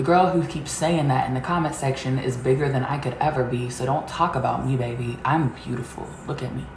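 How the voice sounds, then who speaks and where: A woman with a very deep, low pitch talks at a fairly quick pace with hardly any pauses and fairly even intonation. Light background noise and audible room echo surround her voice. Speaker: vlogger. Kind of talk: casual vlog chat, reading comments aloud. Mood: sassy, confident. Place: home room. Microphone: camera far.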